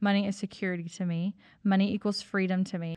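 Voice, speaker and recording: Over a quiet background, a woman talks at a moderate pace in a medium pitch with an ordinary speaking voice. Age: 30s. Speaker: podcast host and business CEO. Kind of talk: casual monologue.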